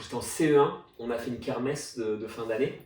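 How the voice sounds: Audible room echo colors a slightly mellow tone delivered at a fairly quick pace with fairly even intonation. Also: man.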